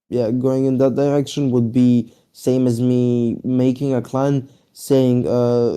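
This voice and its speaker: With a non-native accent, a man talks at a fairly slow pace in a dark, mellow tone. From Europe. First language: not English. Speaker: gaming clan leader. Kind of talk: casual interview.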